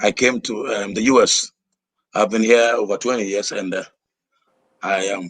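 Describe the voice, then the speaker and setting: A man with a Ghanaian accent speaks at a moderate pace and a medium pitch, his intonation flat and monotone, with long pauses coming often. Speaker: minister and leadership trainer. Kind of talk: interview.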